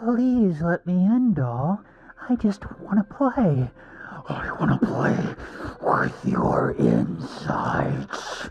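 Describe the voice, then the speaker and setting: The put-on character voice sits at a middle pitch and moves at a very slow pace. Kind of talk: sinister, sweet-talking. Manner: creepy, menacing.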